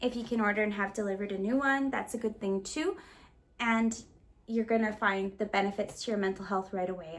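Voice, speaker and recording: This woman's medium-pitched voice moves at a fairly quick pace with fairly even intonation. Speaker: lifestyle vlogger. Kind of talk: casual vlog talk to camera. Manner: fast.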